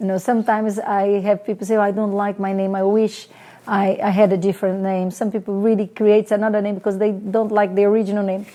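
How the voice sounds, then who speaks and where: Her pitch medium and her intonation monotone and flat, a woman speaks at a very fast pace. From Brazil, small town. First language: Portuguese. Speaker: online show host. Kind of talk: personal storytelling to camera. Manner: hesitant, many fillers.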